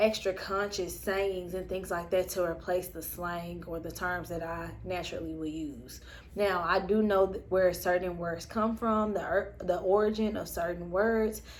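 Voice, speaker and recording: Delivered at a moderate pace with a Southern US accent, this flat, monotone voice runs on with hardly any pauses while audible room echo surrounds it. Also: woman, fairly low pitch for a woman. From US South. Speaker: spiritual vlogger. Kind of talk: personal reflection monologue. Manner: casual, many fillers.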